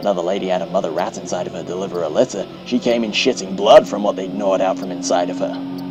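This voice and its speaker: Against noticeable background noise, a man with a very deep, low voice talks very fast with fairly even intonation and hardly any pauses. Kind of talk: horror story narration.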